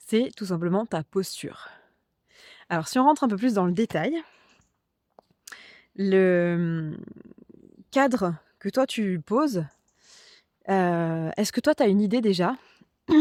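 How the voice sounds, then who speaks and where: Speaking very slowly with long, frequent pauses, a woman of medium pitch sounds dry and close with no echo. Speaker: coach for group facilitators. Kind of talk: talking-head coaching video. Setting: outdoors walking dogs. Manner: hesitant, with frequent fillers.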